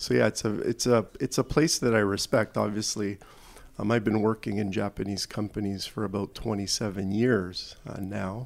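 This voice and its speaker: At a moderate pace, a man talks at a fairly low pitch in a plain, everyday voice. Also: ordinary pitch variation. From Toronto, Canada. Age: 50s. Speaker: corporate executive. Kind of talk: interview.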